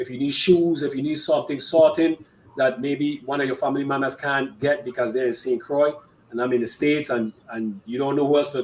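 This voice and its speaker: Against noticeable background noise, a man with an American accent speaks at a fairly quick pace in a fairly high pitch. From US Virgin Islands. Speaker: online show host. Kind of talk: live-streamed interview. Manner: stuttering, repeats words; casual, friendly.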